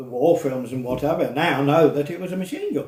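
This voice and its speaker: A man speaks at a fairly quick pace. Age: 80s+. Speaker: flying club member and storyteller. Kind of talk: interview storytelling.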